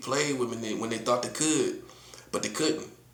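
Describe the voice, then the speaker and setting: Noticeable background noise and audible room echo surround a man speaking in an animated tone with an American accent. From US South, North Carolina. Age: 40s. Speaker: prophet, online preacher. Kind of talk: casual livestream monologue.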